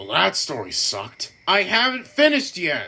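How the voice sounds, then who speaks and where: This put-on character voice moves along at a moderate pace. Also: man. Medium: solo performance. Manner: touchy, boastful.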